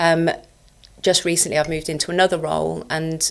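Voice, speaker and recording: A woman with a very deep, low pitch speaks at a fairly quick pace in a monotone, flat intonation. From Scotland. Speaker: debt collection executive. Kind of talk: podcast interview. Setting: studio.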